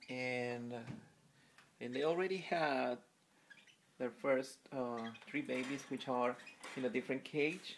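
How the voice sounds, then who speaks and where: Pausing long and often, a man with a Spanish accent talks at a very slow pace in a medium pitch with ordinary pitch variation. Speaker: pet bird keeper. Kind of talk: casual video narration. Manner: halting, many fillers.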